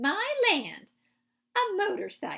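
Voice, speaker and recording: A put-on character voice, raised and projected. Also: woman. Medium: read story.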